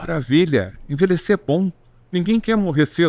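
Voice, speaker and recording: A man's voice in a dry, close sound with no echo. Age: 70s. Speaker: physician and longevity expert. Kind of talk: interview answers.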